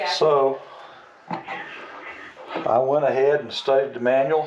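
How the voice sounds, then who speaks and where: The voice is a man's. Noticeable background noise runs underneath. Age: 70s. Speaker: retired archery vlogger. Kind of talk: casual talk to camera.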